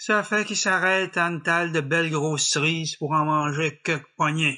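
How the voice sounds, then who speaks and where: A man's high-pitched voice with a bright, sharp tone and a French Canadian accent, over a quiet background. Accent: rural French Canadian patois. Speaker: storyteller. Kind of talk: folk tale storytelling. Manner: humorous, folksy.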